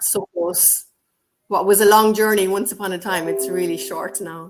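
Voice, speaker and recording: With an Irish accent, a woman speaks at a moderate pace and with ordinary pitch variation. Her loudness swings widely. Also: medium pitch for a woman. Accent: Irish lilt. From Ireland. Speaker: co-author and English teacher. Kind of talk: casual interview chat.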